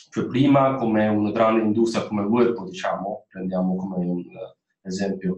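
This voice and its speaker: A man speaks with a Chinese accent and ordinary pitch variation. The background is quiet, though there is audible room echo. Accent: Chinese-accented Italian. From China. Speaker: former student, industrial designer; panelist. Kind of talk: webinar talk. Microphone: video call.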